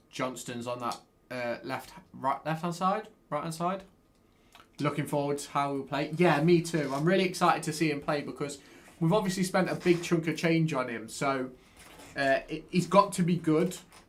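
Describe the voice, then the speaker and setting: A man with an East Midlands accent, fairly high in pitch, ordinary pitch variation, moderate pace. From England, Derby. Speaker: football fan streamer. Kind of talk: live watchalong commentary and chat-reading. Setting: live stream with webcam. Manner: animated.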